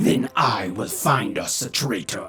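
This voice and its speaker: Faint music plays behind a gruff, growling put-on character voice. It moves at a fairly slow pace. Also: man. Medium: read story. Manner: gruff, terse.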